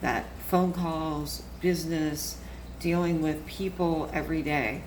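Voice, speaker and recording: A woman talks at a very slow pace, with audible room echo and noticeable background noise. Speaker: chronic illness advocate. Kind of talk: live stream talk. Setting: Facebook live video.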